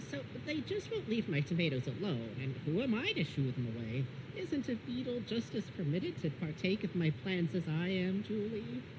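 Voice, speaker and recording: A cartoonish character voice speaks at a moderate pace and a middle pitch. Loud background noise runs underneath. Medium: puppet show. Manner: polite, genteel, earnest.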